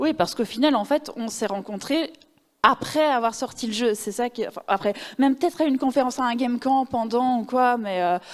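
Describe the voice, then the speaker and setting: A fairly quick pace with ordinary pitch variation. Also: woman, high pitch for a woman. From Belgium. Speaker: narrative designer. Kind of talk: conference talk. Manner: casual, many filler words.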